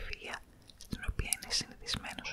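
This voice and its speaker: In a soft-spoken whisper, a woman talks over loud background noise. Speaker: ASMR reader. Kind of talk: soft-spoken reading of a story. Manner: soft close-mic ASMR whisper, reading. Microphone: studio mic.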